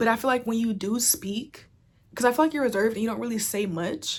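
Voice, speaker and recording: Vocal fry runs through a woman's fairly quick speech, which has ordinary pitch variation. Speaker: tarot reader. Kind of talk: tarot reading monologue. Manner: fast; casual, filler-heavy.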